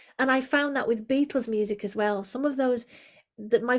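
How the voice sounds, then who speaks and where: Recorded very cleanly against a silent background, a woman with a high voice and an English accent speaks with ordinary pitch variation. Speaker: vocal coach. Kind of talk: interview conversation.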